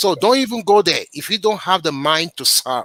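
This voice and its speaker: A man with a Nigerian accent, bright and sharp in tone, lively in intonation, at a fairly slow pace, in a dry, close sound with no echo. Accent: Nigerian, noticeable. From Nigeria, Yoruba southwest (Ibadan). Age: 50s. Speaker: local politician, public official. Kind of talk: interview.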